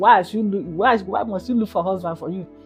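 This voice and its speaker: Over music in the background, a woman speaks in a calm tone with ordinary pitch variation. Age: old. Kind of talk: interview answer.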